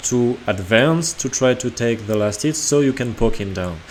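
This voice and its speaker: At a fairly slow pace, a man with a medium pitch speaks with lively intonation. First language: not English. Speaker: gaming video creator. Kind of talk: gameplay analysis commentary.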